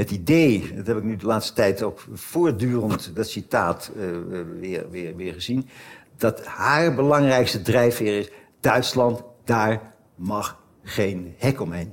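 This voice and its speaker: Here a man speaks at a very slow pace. His intonation is lively. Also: medium pitch for a man. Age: 70s. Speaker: emeritus professor of German history. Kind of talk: conversation on stage. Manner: halting, many repetitions.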